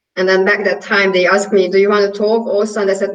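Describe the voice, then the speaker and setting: This woman speaks at a medium pitch with a Hungarian accent. Her intonation stays monotone and flat. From Hungary. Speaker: yoga and pilates teacher. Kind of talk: interview.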